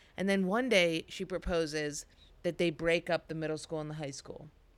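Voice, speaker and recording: In an American accent, a woman talks with a plain, everyday voice at a fairly low pitch. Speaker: comedian. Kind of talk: casual chat.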